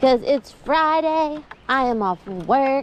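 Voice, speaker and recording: A loud woman speaks in an upbeat tone with very wide pitch swings over noticeable background noise. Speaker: fishing vlogger. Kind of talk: casual vlog. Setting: outdoors.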